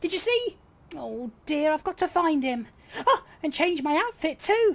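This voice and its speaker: Squeaky and swinging very widely in pitch, a put-on character voice moves along at a moderate pace. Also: woman, extremely high pitch for a woman. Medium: solo performance.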